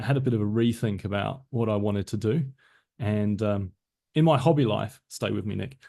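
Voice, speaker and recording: Speaking at a fairly quick pace with a slight British accent, a man uses a fairly low pitch, a dark, mellow tone and ordinary pitch variation. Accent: slightly British. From south London, England. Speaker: business systems consultant, former tech manager. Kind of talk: podcast interview.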